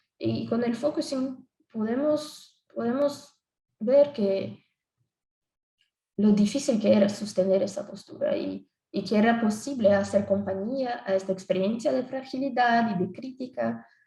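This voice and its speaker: At a fairly slow pace, a woman speaks in a dark, mellow, somewhat breathy tone at a fairly high pitch with ordinary pitch variation. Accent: Brazilian. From Brazil. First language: Portuguese (speaking Spanish). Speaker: psychologist. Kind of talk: conference presentation. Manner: halting.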